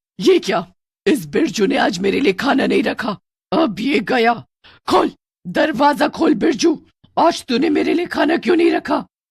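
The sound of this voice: In a put-on character voice, a woman speaks fairly slowly at a fairly high pitch with lively intonation, vocal fry and a husky, rough edge, on a very clean recording with a silent background.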